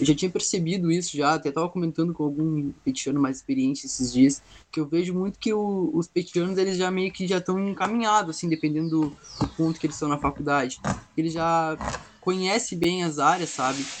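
This man talks at a fairly quick pace in a high voice with ordinary pitch variation. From southern Brazil, Pelotas. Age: young. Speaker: university student. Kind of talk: casual chat.

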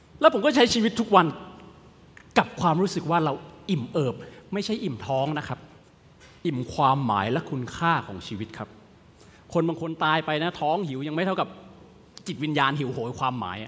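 With very wide pitch swings, a man talks in an animated tone at a fairly high pitch. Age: 30s. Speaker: motivational speaker. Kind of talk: motivational talk. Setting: virtual event.

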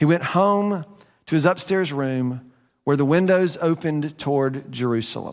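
A plain, everyday voice from a man, fairly high in pitch. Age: 50s. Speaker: pastor. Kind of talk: sermon. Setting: church.

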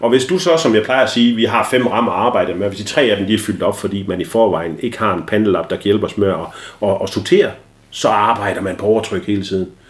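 Fairly low male voice at a very fast pace, ordinary pitch variation, with noticeable background noise. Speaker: ADHD expert guest and father. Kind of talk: casual interview chat. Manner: loud.

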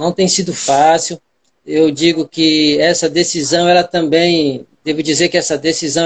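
Very slowly, a man speaks at a fairly high pitch. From Brazil, Ceará coast. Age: 40s. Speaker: schoolteacher and community leader. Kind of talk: interview. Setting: Instagram live stream.

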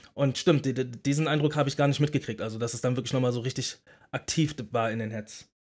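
Here is a man with an unremarkable speaking voice at a medium pitch. He moves at a fairly quick pace with fairly even intonation. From Berlin. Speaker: podcast co-host, former battle rapper. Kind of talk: casual chat.

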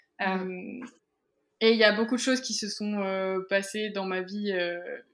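A woman of medium pitch speaks at a fairly slow pace with fairly even intonation. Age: 20s. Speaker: entrepreneur and photographer. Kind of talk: interview. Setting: office.

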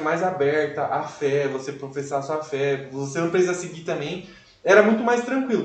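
A man talks at a fairly quick pace with lively intonation. The room echo is audible and background noise is noticeable. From Brazil, Cajamar (São Paulo state). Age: 20s. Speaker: law student. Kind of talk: testimony. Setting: live stream.

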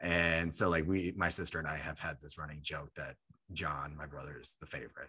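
A man talks at a fairly quick pace with a very deep, low pitch and a bright, sharp tone. His intonation stays monotone and flat. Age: 20s. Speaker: podcast host. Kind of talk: casual chat.

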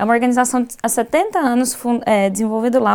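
On a very clean recording with a silent background, a woman talks at a moderate pace in a fairly high voice. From Goiás, Brazil. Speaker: designer and maker educator. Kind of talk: casual chat. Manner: halting, repeats words.

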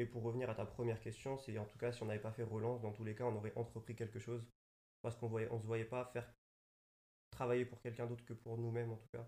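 Speaking at a very fast pace, a man has a medium pitch and a dark, mellow tone. His somewhat breathy voice stays monotone, with flat intonation. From Paris suburbs. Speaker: fashion designer. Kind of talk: casual chat. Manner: halting.

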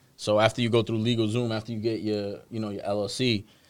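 With an American accent, a man speaks at a fairly low pitch and a fairly quick pace in an unremarkable speaking voice. His intonation is fairly even, and the recording is very clean with a silent background. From Boston, Dorchester. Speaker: stock advising business owner. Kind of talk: casual interview.

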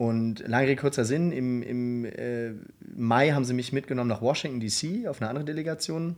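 Moderate pacing from a man at medium pitch, the pitch varying in an ordinary way. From Germany (Hamburg, Cologne, Berlin). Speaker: program manager at a foundation, law school alumnus. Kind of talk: casual interview. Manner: halting, many fillers.

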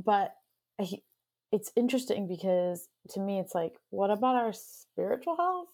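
Lively intonation marks a woman's medium-pitched voice. Her pace is moderate, broken by long, frequent pauses. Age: 30s. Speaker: podcast host. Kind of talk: casual interview.

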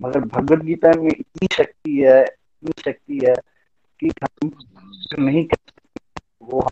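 A man with a dark, mellow tone and a fairly high pitch speaks in a fairly even intonation, leaving long, frequent pauses. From Chamba, Himachal Pradesh, India. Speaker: lawyer. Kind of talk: testimony.

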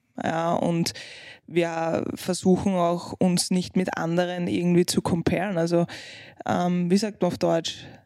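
A woman with a non-native accent speaks at a very slow pace. Her tone is dark and mellow, with fairly even intonation. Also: fairly low pitch for a woman. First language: not German (speaking German). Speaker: podcast co-host, parent. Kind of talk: casual chat.

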